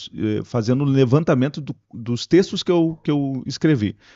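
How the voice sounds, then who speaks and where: A man with a plain, everyday voice talks at a moderate pace, his pitch medium. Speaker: radio broadcaster and pastor. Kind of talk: podcast interview answer. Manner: casual, conversational.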